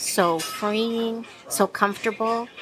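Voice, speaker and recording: A woman speaks at a very slow pace with a fairly high pitch. Music plays in the background. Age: 60s. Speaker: diner patron. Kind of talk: casual interview. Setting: diner.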